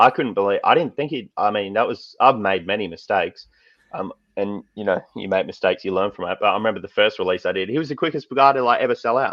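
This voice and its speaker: Talking at a very fast pace, this man is quick. He has an Australian accent. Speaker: card artist. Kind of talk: casual chat.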